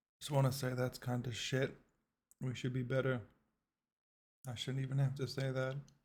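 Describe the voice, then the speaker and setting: Pausing long and often, a man speaks in a somewhat breathy, flat monotone at medium pitch. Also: moderate pace. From Britain, left at age five. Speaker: reaction video creator. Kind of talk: reaction commentary. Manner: casual, conversational.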